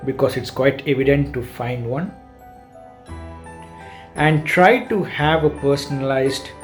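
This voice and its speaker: Music plays in the background as a man speaks very slowly at a fairly high pitch with ordinary pitch variation. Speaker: software engineer. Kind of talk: awareness message to camera.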